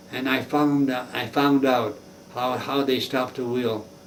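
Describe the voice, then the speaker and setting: Over noticeable background noise, a man with an American accent speaks fairly slowly in a fairly high, monotone, flat voice. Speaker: war veteran. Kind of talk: interview answer.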